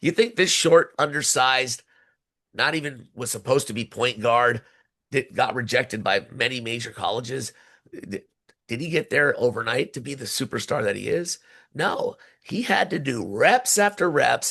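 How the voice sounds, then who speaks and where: Energetic and bright with a sharp tone, the voice moves at a moderate pace with lively intonation. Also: man, medium pitch for a man. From San Francisco Bay Area. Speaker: arena announcer and hype man. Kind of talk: interview answer. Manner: casual, energetic.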